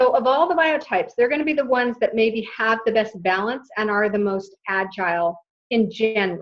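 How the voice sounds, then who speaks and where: With an ordinary speaking voice, a woman talks fairly high in pitch at a moderate pace, using ordinary pitch variation. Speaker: wellness coach. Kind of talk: webinar presentation. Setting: online webinar.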